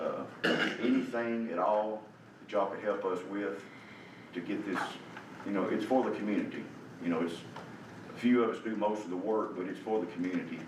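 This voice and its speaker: A man with a Tennessee accent, fairly low pitch and ordinary pitch variation, at a fairly quick pace with long, frequent pauses, amid audible room echo and noticeable background noise. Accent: Southern US (Tennessee). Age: 70s. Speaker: community volunteer. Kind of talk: public comment at a county meeting. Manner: halting, repetitive.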